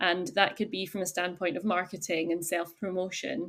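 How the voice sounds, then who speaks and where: A woman speaks with a Highland Scottish accent. Her pace is moderate. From Scotland, Isle of Skye. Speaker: chef and cafe owner. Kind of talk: podcast interview.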